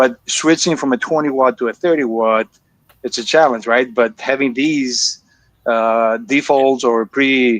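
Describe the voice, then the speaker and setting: With a Greek accent, a man speaks with ordinary pitch variation in a dry, close sound with no echo. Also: medium pitch for a man, fairly slow pace. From Greece. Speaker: laser engraving hobbyist. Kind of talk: live stream group chat. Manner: halting.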